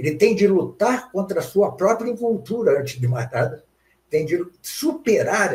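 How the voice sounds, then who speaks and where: A man's speech carries lively intonation and proceeds at a moderate pace. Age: 70s. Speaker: philosophy professor. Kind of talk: interview. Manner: halting, many fillers.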